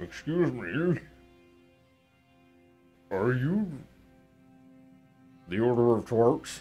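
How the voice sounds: A man's put-on character voice at a very slow pace, with long, frequent pauses and faint music in the background. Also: medium pitch for a man.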